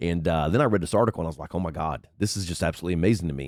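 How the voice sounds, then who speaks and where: A man's voice with vocal fry, dry and close with no echo, in a very clean recording with a silent background. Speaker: political commentary vlogger. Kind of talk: casual political rant. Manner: low energy.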